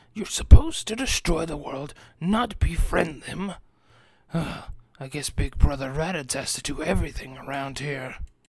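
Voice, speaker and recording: A put-on character voice at a low-to-middle pitch and a moderate pace. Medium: voice reel. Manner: smug, menacing.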